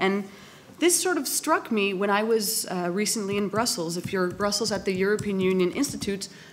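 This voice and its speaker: A woman with a Canadian accent speaks at a fairly quick pace in an unremarkable speaking voice. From Canada. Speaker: philosopher, panel speaker. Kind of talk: public panel debate talk.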